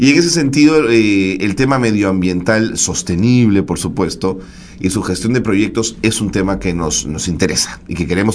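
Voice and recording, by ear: With lively intonation, a man speaks at a moderate pace and a fairly low pitch.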